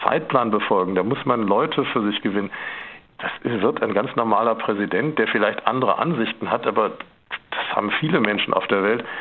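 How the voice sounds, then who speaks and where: An ordinary speaking voice from a man, medium in pitch, moderate in pace, with ordinary pitch variation. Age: 50s. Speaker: photographer. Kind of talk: radio interview.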